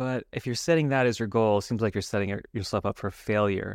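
With an American accent, a man in an ordinary speaking voice talks at a fairly low pitch with ordinary pitch variation, the sound dry and close with no echo over a quiet background. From Los Angeles, Hollywood. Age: 50s. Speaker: musician and music teacher. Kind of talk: podcast interview.

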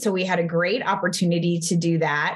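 Her pitch sits fairly low, and this woman has a Texan accent. She speaks at a moderate pace. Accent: American, Texan.

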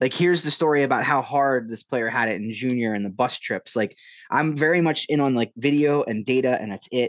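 A man with a medium pitch and ordinary pitch variation talks at a fairly quick pace. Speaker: hockey journalist. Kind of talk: interview conversation. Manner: casual, hesitant with fillers.

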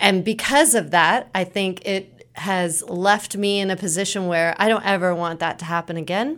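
A woman with an American accent speaks at medium pitch and a moderate pace, with hardly any pauses and ordinary pitch variation. It's a plain, everyday voice on a very clean recording with a silent background. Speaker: nonprofit director. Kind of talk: interview answers.

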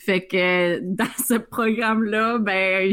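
The recording here is very clean and the background silent. The voice belongs to a woman. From Northern Ontario, Iroquois Falls. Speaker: podcast co-host. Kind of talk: casual chat.

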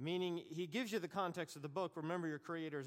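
Fairly high in pitch, a man speaks. His pace is very fast. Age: 50s. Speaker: bible teacher. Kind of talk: lecture.

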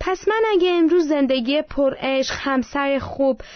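High-pitched woman's voice with an Armenian accent. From Iran, Armenian family. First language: Armenian (speaking Persian). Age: 20s. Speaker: churchgoer giving testimony. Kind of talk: testimony.

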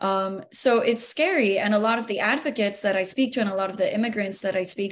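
An unremarkable speaking voice with an American accent and ordinary pitch variation. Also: woman. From Miami, Florida. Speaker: news reporter. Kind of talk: roundtable discussion.

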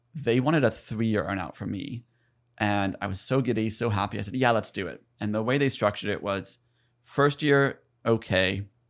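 In an ordinary speaking voice, a man with an American accent talks at a moderate pace and fairly low pitch, using ordinary pitch variation, on a very clean recording with a silent background. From US South, South Carolina. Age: 30s. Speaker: entrepreneur and content creator. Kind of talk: podcast interview.

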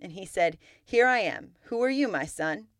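A woman's warm, fairly high voice with very wide pitch swings and vocal fry, at a moderate pace, on a very clean recording with a silent background. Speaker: podcast host and Bible teacher. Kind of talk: scripture reading, steady and measured, in between teaching talk; devotional Bible teaching. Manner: formal, even-paced reading aloud, clear and reverent; earnest and warm.

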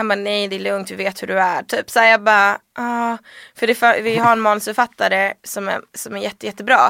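A woman talks at a fairly quick pace in a medium-pitched, bright, sharp voice with monotone, flat intonation. The recording is very clean and silent behind her, with a dry, close sound and no echo. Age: 20s. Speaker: journalist. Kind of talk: casual chat.

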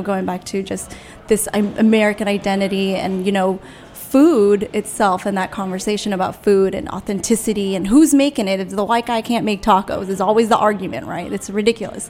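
A woman with an unremarkable speaking voice at a fairly quick pace, with ordinary pitch variation. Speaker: radio host. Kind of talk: casual chat.

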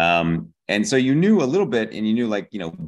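A man speaks with an American accent at a moderate pace. His voice carries vocal fry. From Pittsburgh, Pennsylvania. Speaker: TV comedy writer. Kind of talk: casual interview.

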